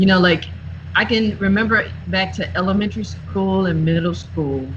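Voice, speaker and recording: A woman with a Southern US accent speaks at a moderate pace, with audible room echo and noticeable background noise. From US South, South Carolina. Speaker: singer and youth mentor. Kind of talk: interview conversation.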